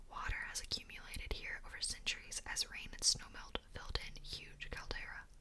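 A woman's whisper at a moderate pace, with noticeable background noise. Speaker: ASMR content creator. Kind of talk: soft-whispered book reading. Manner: whispered, soft-spoken.

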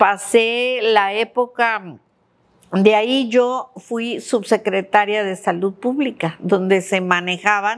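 Very slow in pace, the speech holds fairly even intonation. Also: woman. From Mexico City. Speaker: state health secretary, physician; interviewee. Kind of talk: interview. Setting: her office. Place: home room. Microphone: lapel.

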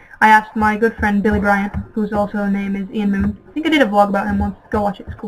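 Noticeable background noise sits behind a woman talking at a very fast pace. Her pitch is medium, and she hardly pauses. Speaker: gaming YouTuber. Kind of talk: gameplay commentary. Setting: home bedroom with webcam. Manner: animated.

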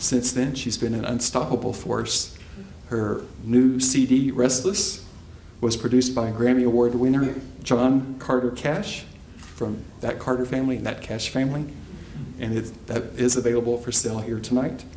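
A man at a moderate pace with fairly even intonation, amid light background noise and audible room echo. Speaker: event host. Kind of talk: formal introduction. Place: hall. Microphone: podium.

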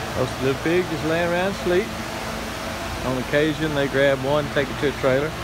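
Fairly quick speech from a man with long, frequent pauses, dry with no echo, over loud background noise. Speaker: vlogger narrator. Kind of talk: casual talk to camera. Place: farm machine. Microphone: phone near.

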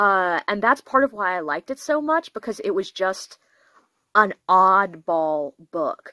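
A woman's voice has a bright, sharp tone and very wide pitch swings. The sound is dry, with no echo. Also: quiet background. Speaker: book reviewer. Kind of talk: casual book review chat. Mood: enthusiastic, self-deprecating. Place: home room. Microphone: phone near.

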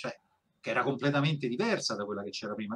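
A man's unremarkable speaking voice at medium pitch, with lively intonation. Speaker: voice actor. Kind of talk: interview answer.

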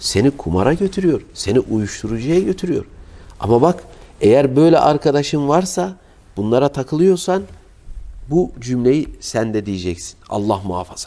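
His voice dark and mellow, a man speaks at a fairly high pitch and a moderate pace, with very wide pitch swings. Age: 40s. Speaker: Islamic preacher. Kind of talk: sermon. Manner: emotive. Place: home room. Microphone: lapel.

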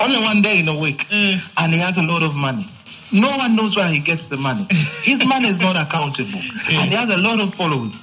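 Over faint music in the background, a man talks at a very fast pace in a raised, projected voice. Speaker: radio caller. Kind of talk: call-in opinion.

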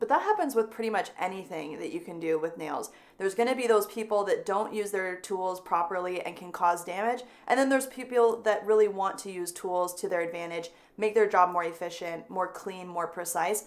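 The speaker is a woman with ordinary pitch variation. Her loudness swings a lot. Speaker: nail educator. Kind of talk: tutorial. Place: studio.

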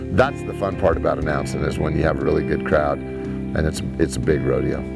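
Over loud background music, a man speaks at a fairly quick pace, and the sound is dry with no echo. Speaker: rodeo announcer. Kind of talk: interview answer. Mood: warm, excited, nostalgic. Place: farm machine. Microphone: lapel.

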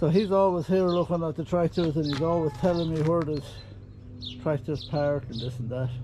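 Noticeable noise runs behind a man as he talks. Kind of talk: casual vlog chat. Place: farm machine. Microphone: phone near.

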